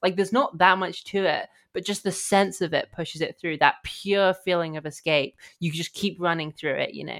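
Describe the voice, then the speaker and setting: Fairly even intonation in a British accent at a moderate pace, in a very clean recording with a silent background. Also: woman, medium pitch for a woman. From Britain. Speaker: film writer, podcast guest. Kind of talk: casual chat.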